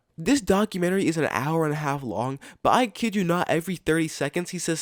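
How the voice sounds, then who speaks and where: Speaking at a fairly quick pace, a man uses an animated tone. His pitch is fairly high, and the recording is very clean with a silent background. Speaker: commentary youtuber. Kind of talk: casual rant.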